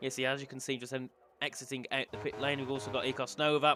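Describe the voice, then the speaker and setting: Speaking at a very fast pace, a man keeps a medium pitch. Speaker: sim racing commentator. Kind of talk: live commentary. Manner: animated.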